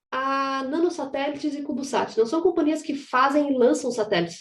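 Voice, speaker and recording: Her intonation is lively. This woman's voice is high-pitched. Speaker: aerospace engineering professor. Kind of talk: conference presentation. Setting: online panel. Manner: fast.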